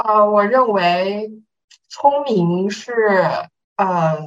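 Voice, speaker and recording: A woman speaks at a very slow pace. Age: young. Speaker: young online class participant. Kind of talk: casual Q&A.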